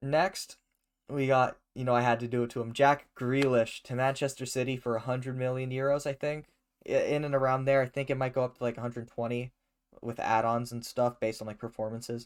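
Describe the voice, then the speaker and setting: A man talks at a fairly quick pace in a medium pitch with monotone, flat intonation. The recording is very clean, with a silent background. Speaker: soccer podcast host. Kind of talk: casual podcast chat.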